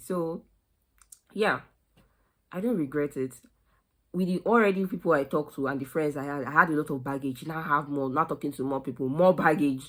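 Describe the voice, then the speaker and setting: A woman speaks at a fairly quick pace in a very deep, low pitch with ordinary pitch variation. The recording is very clean, with a silent background. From Nigeria. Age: 20s. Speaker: recent university graduate. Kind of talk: casual talk to camera.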